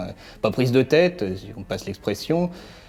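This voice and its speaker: Music plays behind a man speaking at a medium pitch. His pitch swings very widely. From France. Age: 20s. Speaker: cellist. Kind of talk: interview answers. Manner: hesitant, many fillers.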